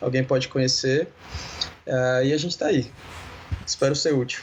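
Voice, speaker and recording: Through noticeable background noise comes a man's voice at a fairly high pitch. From Brazil, Belo Horizonte. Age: 30s. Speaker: designer and church communication leader. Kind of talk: casual interview.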